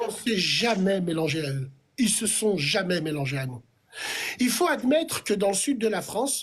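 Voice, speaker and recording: A man's animated, high-pitched delivery at a fairly slow pace, with very wide pitch swings. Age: 40s. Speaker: live stream host. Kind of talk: heated debate.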